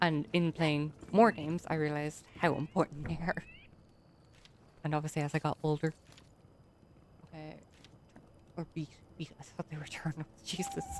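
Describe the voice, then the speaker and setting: Mumbling in an Irish accent, a woman with a very deep, low pitch speaks with fairly even intonation and long, frequent pauses. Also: moderate pace, big swings in loudness. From Ireland. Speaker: gaming streamer. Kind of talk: casual gameplay commentary.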